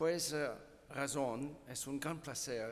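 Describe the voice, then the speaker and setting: Speaking at a very slow pace, a man with a non-native accent has a fairly high pitch, and audible room echo surrounds his voice. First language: not Spanish (speaking Spanish). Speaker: physics professor, keynote speaker. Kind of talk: conference talk.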